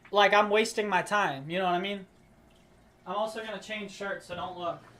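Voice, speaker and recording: In a raised, projected voice, a man with high pitch talks at a fairly quick pace, his intonation fairly even but his loudness swinging widely. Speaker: streamer. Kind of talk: casual chat. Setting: live stream.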